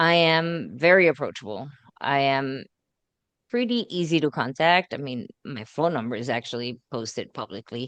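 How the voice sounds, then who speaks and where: With lively intonation and big swings in loudness, a woman with a very deep, low pitch talks at a moderate pace against a quiet background. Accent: Puerto Rican. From Puerto Rico. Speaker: school board candidate. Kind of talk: candidate interview.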